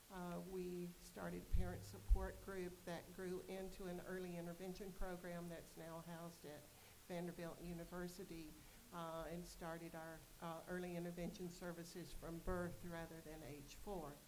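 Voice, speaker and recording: A woman's fairly low voice with a slight Southern US accent and monotone, flat intonation, amid noticeable background noise and audible room echo. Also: moderate pace, big swings in loudness. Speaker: board member, parent representative and nurse. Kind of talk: self-introduction at a board meeting. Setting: board meeting.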